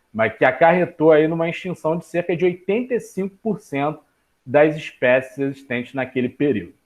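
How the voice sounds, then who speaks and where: In a plain, everyday voice, a man with a fairly high pitch speaks at a moderate pace with lively intonation. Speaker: biology teacher. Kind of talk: online class lecture.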